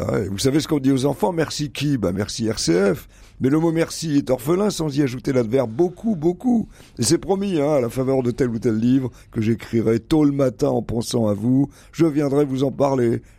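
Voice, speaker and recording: Lively intonation from a man with a dark, mellow tone. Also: medium pitch for a man, moderate pace. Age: 70s. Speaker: radio columnist, retired professor. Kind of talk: radio chronicle.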